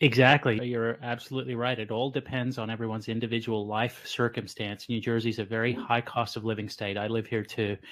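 Against a quiet background, a man rattles along at a very fast pace with hardly any pauses and monotone, flat intonation. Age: 40s. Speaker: physician podcast host. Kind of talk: casual interview. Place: home room. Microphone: studio mic.

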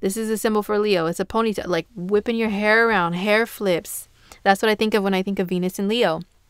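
A woman talks at a very fast pace with a medium pitch and fairly even intonation, in a dry, close sound with no echo. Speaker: astrologer. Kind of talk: casual horoscope talk to camera. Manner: casual, filler-heavy.

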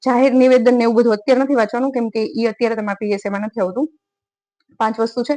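Here is a woman with an ordinary speaking voice, pitched fairly high, her intonation fairly even. The sound is dry and close, with no echo. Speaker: exam-prep YouTuber. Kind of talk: study tips talk to camera. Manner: conversational.

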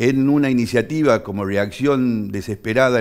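With an unremarkable speaking voice, a man talks at a medium pitch with ordinary pitch variation. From Argentina, Tucumán (Bellavista); Tucumán, Argentina. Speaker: politician; politician guest. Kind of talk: studio interview. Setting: TV studio. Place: studio. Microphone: headset.

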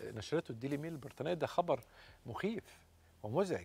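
Somewhat breathy and fairly high in pitch, a man talks at a fairly quick pace with lively intonation. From Egypt. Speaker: TV health show host, doctor; TV health show host. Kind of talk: talk show interview. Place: studio. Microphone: lapel.

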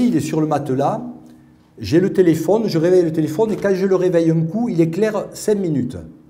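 This man has a dark, mellow tone with vocal fry and a fairly high pitch. He keeps a moderate pace and ordinary pitch variation. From Paris. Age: 50s. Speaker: researcher and patient advocate; conference speaker. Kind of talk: testimony talk. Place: hall. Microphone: podium.

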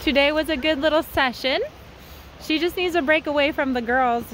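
Light background noise accompanies a woman speaking at a fairly quick pace. The sound is dry with no echo. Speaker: horse trainer. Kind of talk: casual vlog chat. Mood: cheerful, laughing. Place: open country. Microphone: phone near.

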